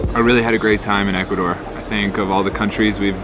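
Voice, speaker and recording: Over music in the background, a man talks at a very fast pace and fairly low pitch, with audible room echo. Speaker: travel vlogger. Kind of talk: casual vlog talk to camera. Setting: airport lounge.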